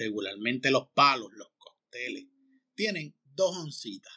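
Dry and close with no echo, the recording captures a man with a bright, sharp tone and a fairly high pitch. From Puerto Rico, Manatí. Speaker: restaurant consultor and podcast host. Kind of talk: casual interview. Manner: halting, many fillers.

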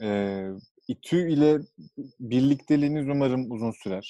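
This man's voice sits at a medium pitch with ordinary pitch variation. His tone is dark and mellow. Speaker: podcast host. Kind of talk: casual chat.

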